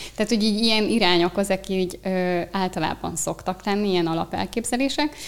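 A woman's medium-pitched voice at a very fast pace, with very even loudness and ordinary pitch variation. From Hungary, Eger. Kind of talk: interview conversation.

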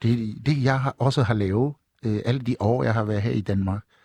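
A man with a West African accent speaks at a medium pitch in a dark, mellow tone, with ordinary pitch variation. His pace is fairly slow, and the background is quiet. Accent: West African-accented Danish. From Togo, West Africa. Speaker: master drummer. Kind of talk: live radio chat. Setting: studio. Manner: animated.

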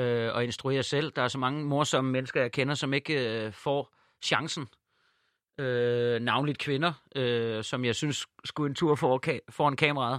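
A man with a normal speaking voice talks at a fairly slow pace in a medium pitch, with fairly even intonation, on a very clean recording with a silent background. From Ærø, Denmark. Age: 30s. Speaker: actor and comedian. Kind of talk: casual chat.

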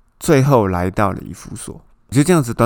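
The speaker is a man. His pace is fairly quick. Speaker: Bible study podcast host. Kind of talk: Bible teaching. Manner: casual, conversational.

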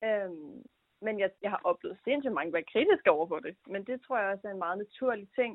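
A woman speaks in an unremarkable speaking voice at a moderate pace. Her pitch is medium and her intonation lively. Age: 20s. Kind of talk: interview.

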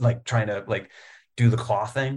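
A man's somewhat breathy, monotone, flat voice with an American accent. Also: very clean recording, silent background. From Virginia, Richmond. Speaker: writer. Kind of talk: casual chat.

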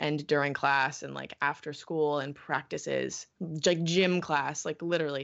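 Her very deep, low voice carrying an American accent, a woman speaks at a fairly slow pace. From California. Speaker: watch video channel co-founder. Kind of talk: interview.

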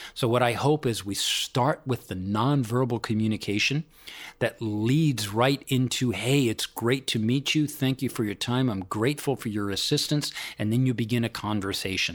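A man speaks in a plain, everyday voice at medium pitch and a moderate pace. His pitch varies in an ordinary way on a very clean recording with a silent background. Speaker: executive coach. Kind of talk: interview. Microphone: poor sound quality.

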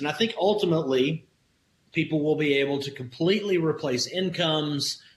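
With a Southern US accent, a man speaks at a moderate pace in a fairly high pitch. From Alabama, US South. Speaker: crypto investor and business owner. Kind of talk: interview.

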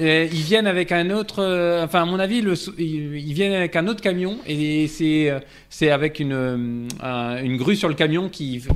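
At a fairly slow pace, this is an ordinary speaking voice with ordinary pitch variation. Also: man, fairly high pitch for a man. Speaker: tech news panelist. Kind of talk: casual chat.

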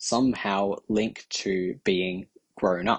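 With an Australian accent, a man speaks at a fairly low pitch using ordinary pitch variation. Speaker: fan submitting a response. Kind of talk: recorded listener response.

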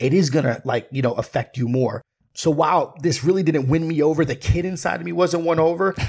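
In an animated tone, a somewhat breathy man speaks in a very clean recording with a silent background. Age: 30s. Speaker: podcaster and film commentator. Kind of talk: casual chat.

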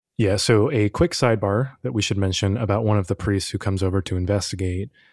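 A man speaks at a fairly quick pace with a fairly low pitch, ordinary pitch variation and a plain, everyday voice. The recording is very clean, with a silent background. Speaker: podcast producer and co-presenter. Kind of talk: casual true-crime discussion.

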